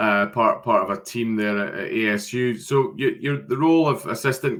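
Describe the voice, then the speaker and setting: Lively, medium-pitched speech from a man in a Scottish accent, at a moderate pace. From Scotland. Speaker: webinar host for a sports recruitment agency. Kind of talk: webinar interview. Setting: video call.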